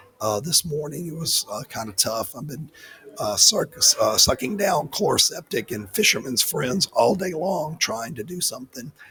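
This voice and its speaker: A quiet man with a fairly high voice, lively intonation and big swings in loudness, at a moderate pace. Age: 60s. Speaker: podcast host. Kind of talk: casual chat. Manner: quiet, hard to hear.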